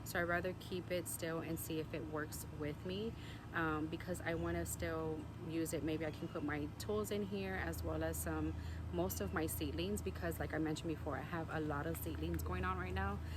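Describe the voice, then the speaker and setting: A woman with very deep, low pitch speaks at a moderate pace, her loudness very even but her pitch swinging very widely. Audible room echo and noticeable background noise surround her. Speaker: gardening and lifestyle vlogger. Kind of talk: casual vlog narration. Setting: outdoors in vegetable garden. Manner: hesitant, many fillers.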